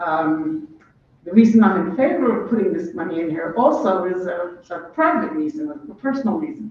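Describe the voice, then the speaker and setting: Against noticeable background noise, the voice keeps a moderate pace. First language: not English. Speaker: former city council member, public commenter. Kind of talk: public testimony. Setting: city committee hearing. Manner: clear.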